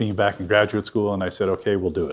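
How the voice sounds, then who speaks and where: Captured in a very clean recording with a silent background, a man with an American accent speaks in a fairly low, somewhat breathy voice. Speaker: lecturer, former defense official. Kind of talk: lecture. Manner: halting, many fillers.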